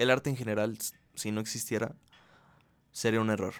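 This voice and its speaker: A man speaks at a fairly quick pace in a medium pitch, his intonation fairly even. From Mexico, Aguascalientes. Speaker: podcast host. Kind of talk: casual monologue. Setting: relative's home, bedroom. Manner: casual, hesitant with fillers.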